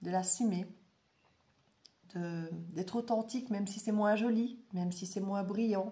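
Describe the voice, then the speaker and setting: Her voice dark and mellow and somewhat breathy, a woman speaks at a very slow pace and a medium pitch with fairly even intonation. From Belgium. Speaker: tarot and oracle reader. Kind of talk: casual monologue to viewers. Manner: hesitant, many fillers.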